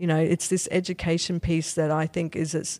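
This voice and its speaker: In a very clean recording with a silent background, a woman with an Australian accent speaks at a fairly quick pace, her fairly low pitch carrying a dark, mellow tone. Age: 50s. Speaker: neuroscience professor. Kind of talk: interview.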